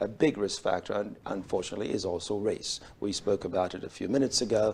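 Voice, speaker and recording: At a very fast pace, a man with a fairly low pitch keeps his intonation fairly even. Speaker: urologist. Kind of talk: medical interview. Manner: hesitant, many fillers.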